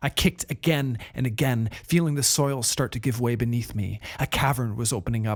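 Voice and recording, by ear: A natural voice reading aloud.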